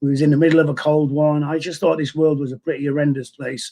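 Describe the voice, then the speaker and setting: A man's fairly high voice in a Mancunian accent. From northern England, Manchester. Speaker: person in recovery from addiction. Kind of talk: testimony. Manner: halting, many repeated words.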